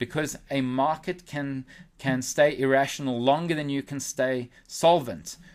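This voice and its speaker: A man's unremarkable speaking voice, fairly high in pitch, at a moderate pace. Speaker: forex trader and newsletter analyst. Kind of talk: webinar market analysis.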